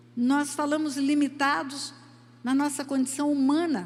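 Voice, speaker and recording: High-pitched woman's voice at a fairly slow pace, with audible room echo. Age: 70s. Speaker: preacher. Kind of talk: sermon.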